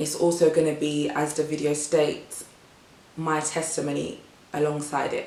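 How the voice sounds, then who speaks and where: A woman with a British accent speaks at a moderate pace with a very deep, low pitch. Noticeable background noise and audible room echo are present. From England, Ghanaian family. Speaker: vlogger. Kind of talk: casual vlog talk to camera.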